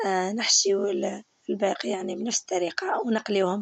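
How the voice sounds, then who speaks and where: The speaker has an Algerian accent and a fairly even intonation. The pace is moderate, and the sound is dry and close, with no echo. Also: woman. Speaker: cooking channel host. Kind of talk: cooking tutorial. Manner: halting, with filler words.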